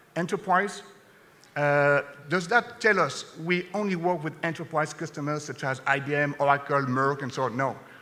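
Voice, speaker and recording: Over noticeable background noise, a man speaks with a French accent at a moderate pace. His fairly high pitch has ordinary variation. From France. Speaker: sales executive. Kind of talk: conference presentation.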